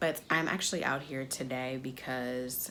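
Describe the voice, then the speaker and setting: Audible room echo and noticeable background noise surround a woman whose very deep, low voice keeps a fairly even intonation. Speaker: DIY crafts YouTuber. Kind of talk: casual vlog talk to camera. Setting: enclosed back porch, window open.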